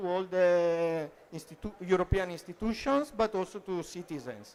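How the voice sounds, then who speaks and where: The speaker has an Italian accent and a moderate pace. There are hardly any pauses. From Italy. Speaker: translation professional at EU institution. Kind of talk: conference panel talk. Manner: hesitant, many fillers.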